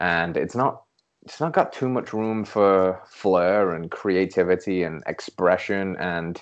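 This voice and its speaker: Ordinary pitch variation from a man with a very deep, low voice. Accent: English. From England. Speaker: holistic health coach. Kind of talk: interview conversation.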